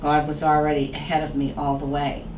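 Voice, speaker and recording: Over noticeable background noise, a woman speaks with a Boston accent in a very deep, low pitch. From Boston area. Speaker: author. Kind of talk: interview answer.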